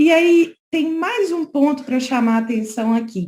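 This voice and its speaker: A woman speaking at a very slow pace. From Brazil, Minas Gerais. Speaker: lawyer. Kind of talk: conference talk. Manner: conversational, frequent fillers.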